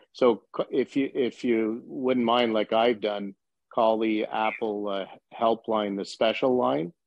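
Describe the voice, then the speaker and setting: With a slight Canadian accent, a man talks at a very slow pace and a medium pitch, his intonation fairly even. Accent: slightly Canadian. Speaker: blind peer support group member. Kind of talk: casual group discussion. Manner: halting, many fillers.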